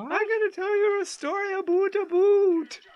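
Here is a squeaky, put-on character voice at an extremely high pitch, in a Canadian accent. It moves at a moderate pace.

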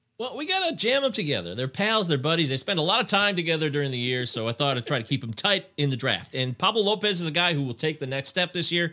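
Talking very fast with hardly any pauses, a man with an American accent uses a fairly high pitch with very wide pitch swings, over noticeable background noise. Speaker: fantasy baseball podcaster. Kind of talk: casual chat.

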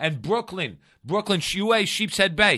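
Against a quiet background, a raised, projected voice with a bright, sharp tone speaks at a moderate pace with ordinary pitch variation. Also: man. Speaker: comedian and actor. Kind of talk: casual chat. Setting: studio.

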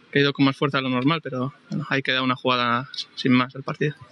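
A man speaks in a monotone, flat intonation, with a dry, close sound with no echo and noticeable background noise. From Colombia. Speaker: footballer. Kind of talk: post-match interview. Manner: halting.

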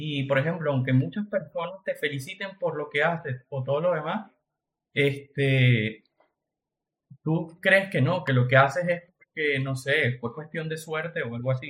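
A man with a fairly high pitch and ordinary pitch variation. He has a normal speaking voice and talks at a fairly slow pace. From Venezuela. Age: 20s. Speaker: entrepreneur. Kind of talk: casual chat.

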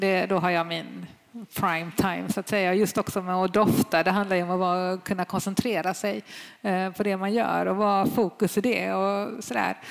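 A woman has an unremarkable speaking voice. She talks at a moderate pace with fairly even intonation. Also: medium pitch for a woman. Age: middle-aged. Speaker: sommelier. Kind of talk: live panel discussion. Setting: stage with audience.

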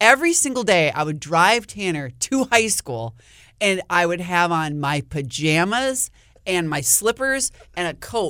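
A woman with an Upper Midwest accent speaks in a bright, sharp tone, her pitch swinging very widely. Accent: Upper Midwest American. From Wisconsin, US. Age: 50s. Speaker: TV meteorologist. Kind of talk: casual chat.

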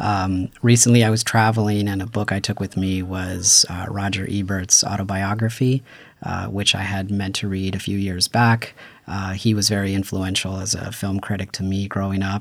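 At a moderate pace, a man speaks with a fairly low pitch and monotone, flat intonation. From Paramount, Los Angeles. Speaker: PhD student in urban planning. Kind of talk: casual chat.

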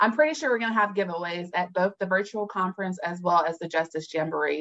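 This woman has a plain, everyday voice with an American accent, a fairly low pitch, ordinary pitch variation and a fairly quick pace. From North Carolina (Fayetteville). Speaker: attorney. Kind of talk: radio interview.

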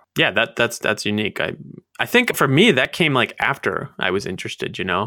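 A man with an American accent has an ordinary speaking voice at medium pitch and talks at a fairly quick pace. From Maryland. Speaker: podcast co-host, meteorologist. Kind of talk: casual chat.

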